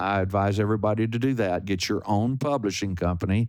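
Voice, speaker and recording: Here a man talks with a fairly low pitch. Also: quiet background. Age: 70s. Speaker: singer-songwriter. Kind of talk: interview. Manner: halting.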